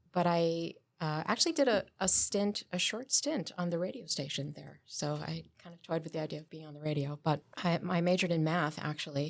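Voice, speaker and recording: In a very clean recording with a silent background, a woman speaks with a very deep, low pitch. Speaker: librarian, interview guest. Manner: hesitant, halting with fillers.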